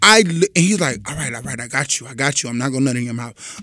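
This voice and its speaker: A man's voice with very wide pitch swings. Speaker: podcast co-host. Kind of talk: casual chat. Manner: animated.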